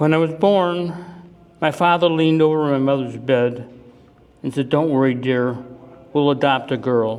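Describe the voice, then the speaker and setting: With an American accent, a man talks at a moderate pace and a fairly high pitch, with ordinary pitch variation. Audible room echo and noticeable background noise are present. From US Midwest, Cleveland, Ohio. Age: 70s. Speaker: retiree giving life-story talk. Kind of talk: presentation to audience. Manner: emotional, halting.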